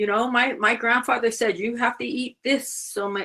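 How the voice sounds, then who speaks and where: With an American accent and a normal speaking voice, a woman talks at a moderate pace in a fairly high pitch. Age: 60s. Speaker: panelist. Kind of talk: panel discussion.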